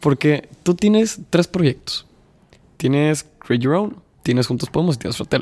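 Lively intonation marks an unremarkable speaking voice that keeps a moderate speed. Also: man, fairly high pitch for a man. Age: 20s. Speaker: podcast host. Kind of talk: casual interview chat.

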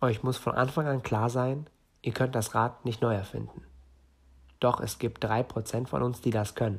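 A man's somewhat breathy voice keeps a fairly even intonation. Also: medium pitch for a man, moderate pace, very clean recording, silent background. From northern Germany. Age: 20s. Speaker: entrepreneur podcaster. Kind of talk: solo podcast monologue.

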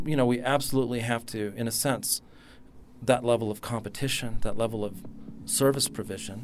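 With an American accent, a man speaks in an ordinary speaking voice at a medium pitch. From California. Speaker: futures researcher. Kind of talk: panel discussion.

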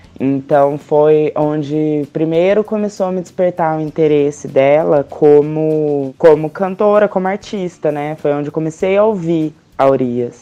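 Over music in the background, a woman with a very deep, low pitch talks at a fairly slow pace with hardly any pauses and ordinary pitch variation. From Brazil, Paraná (Arapongas). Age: 20s. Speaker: makeup artist. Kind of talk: casual interview chat. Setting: at home, drinking beer.

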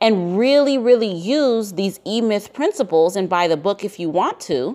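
A woman speaks in an animated, enthusiastic tone with lively intonation and a fairly high pitch. Her moderate pace comes through on a very clean recording with a silent background. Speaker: real estate investor and podcast host. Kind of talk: solo podcast monologue, educational talk.

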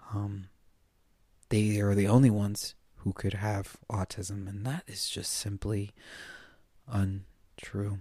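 A man's fairly low, dark, mellow voice, somewhat breathy, with an American accent and monotone, flat intonation, at a very slow pace with long, frequent pauses, in a very clean recording with a silent background. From United States. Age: 30s. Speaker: podcast host and spiritual healing coach. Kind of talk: solo podcast monologue.

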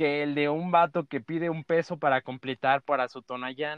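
A man with a Mexican accent at a fairly slow pace. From Mexico, Chiapas (Tuxtla). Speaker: podcast host. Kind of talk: casual chat. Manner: halting.

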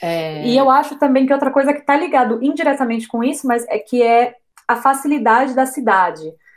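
A woman speaks at a high pitch with lively intonation. Her pace is fairly quick. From Brazil, interior of São Paulo state. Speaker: travel blogger. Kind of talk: casual interview chat.

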